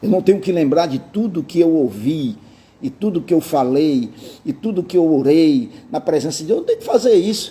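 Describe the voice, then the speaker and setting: A man's dark, mellow voice, fairly high in pitch, with very wide pitch swings and a moderate pace. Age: 60s. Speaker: pastor. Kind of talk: sermon. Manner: casual conversational.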